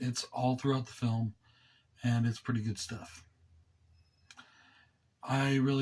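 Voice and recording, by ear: A man at medium pitch, with fairly even intonation, a slightly mellow tone and a moderate pace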